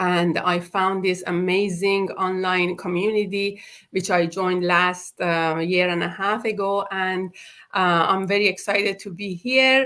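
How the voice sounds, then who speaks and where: A woman with a bright, sharp tone and medium pitch speaks at a fairly slow pace with fairly even intonation, on a very clean recording with a silent background. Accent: Persian. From Iran. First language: Persian. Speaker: hairstylist and online business mentor. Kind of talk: live stream introduction. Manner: halting, many fillers.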